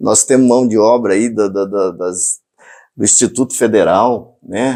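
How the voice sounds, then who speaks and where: The recording is very clean with a silent background as a man speaks at a fairly slow pace. His medium-pitched voice has a dark, mellow tone and fairly even intonation. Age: 60s. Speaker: mayoral candidate. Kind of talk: interview.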